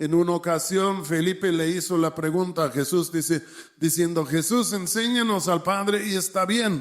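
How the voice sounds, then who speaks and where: A man talks at a high pitch with ordinary pitch variation. The recording is very clean, with a silent background. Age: 70s. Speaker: preacher. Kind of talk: sermon.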